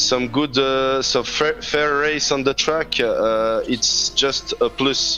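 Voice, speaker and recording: In a non-native accent, the speaker goes at a very slow pace with fairly even intonation, with noticeable background noise behind the voice. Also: man. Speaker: sim racing driver. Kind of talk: press conference interview. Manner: halting.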